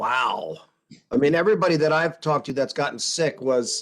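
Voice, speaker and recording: With ordinary pitch variation and a fairly high pitch, the man has an ordinary speaking voice. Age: 60s. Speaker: meeting participant. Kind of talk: casual chat.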